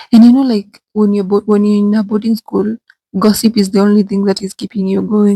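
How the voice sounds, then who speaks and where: A woman is whispering at a moderate pace, somewhat breathy. The sound is dry and close, with no echo. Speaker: vlogger. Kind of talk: storytelling vlog. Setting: bathroom.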